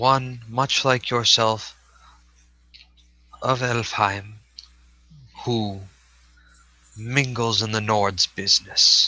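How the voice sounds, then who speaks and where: A man's put-on character voice at medium pitch, very slow, with long, frequent pauses. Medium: actual play. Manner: dour, cryptic.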